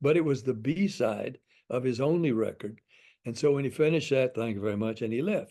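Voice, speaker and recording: A man's medium-pitched voice carries a dark, mellow tone. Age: 80s+. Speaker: veteran pop singer. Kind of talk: interview answer.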